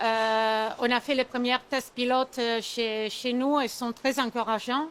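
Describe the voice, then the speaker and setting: Very slowly, a woman with a high pitch speaks in an Italian accent. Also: fairly even intonation. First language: Italian (speaking French). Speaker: sales manager at packaging company. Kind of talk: trade show interview. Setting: trade fair. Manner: halting, many hesitations.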